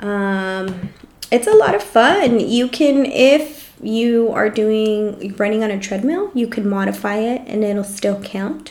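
With a Californian accent, a woman speaks at a very slow pace and a fairly high pitch, with ordinary pitch variation and hardly any pauses, over noticeable background noise. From Los Angeles, Salvadoran family. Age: 30s. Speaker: podcast co-host. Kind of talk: casual chat.

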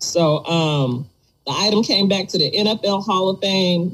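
Breathing somewhat audibly, a woman talks at a very slow pace with ordinary pitch variation. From Detroit, US Midwest. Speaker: podcast host. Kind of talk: casual chat.

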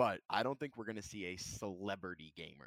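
A man talks at a fairly quick pace with a fairly low pitch in an ordinary speaking voice. The sound is dry and close, with no echo. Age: 20s. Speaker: streamer. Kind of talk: casual chat.

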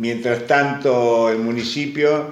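The man talks at a medium pitch. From Argentina, Necochea. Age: 70s. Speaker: immigrant grandfather. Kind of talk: interview.

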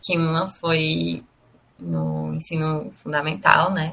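A woman's fairly low voice, bright and sharp in tone, with ordinary pitch variation. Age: 20s. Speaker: advertising professional. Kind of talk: interview testimony. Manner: hesitant, with filler words.

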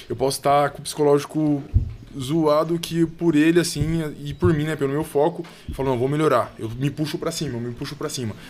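This man's fairly quick talk, with fairly even intonation, comes through noticeable background noise. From São Paulo, Brazil. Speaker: heavyweight boxer. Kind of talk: casual chat. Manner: halting.

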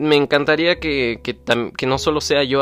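A man speaks at medium pitch. His pace is moderate. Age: young. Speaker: podcaster. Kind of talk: casual monologue. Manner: halting.

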